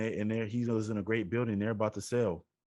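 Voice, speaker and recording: This man speaks at a medium pitch. His intonation stays monotone and flat. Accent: American. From Chicago. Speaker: real estate investor, podcast host. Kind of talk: interview answer.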